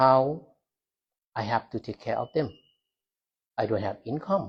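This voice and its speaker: A man with a non-native accent speaks at a fairly slow pace and medium pitch. His intonation is lively and his voice somewhat breathy. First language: not English. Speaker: Buddhist monk. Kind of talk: talk to a university audience. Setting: university hall with audience. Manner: halting.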